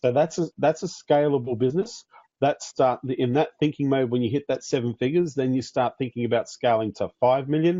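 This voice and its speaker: With an Australian accent and a dark, mellow tone, a man talks at a fairly quick pace in a fairly high pitch with ordinary pitch variation. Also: dry, close sound with no echo. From Australia (Queensland). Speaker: business coach for agency owners. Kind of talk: online training webinar. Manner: fast.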